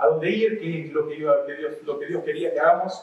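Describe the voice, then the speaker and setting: A man with an Argentine accent at a fairly quick pace, with noticeable background noise and audible room echo. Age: 40s. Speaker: youth camp preacher. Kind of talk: sermon. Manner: casual, with many fillers.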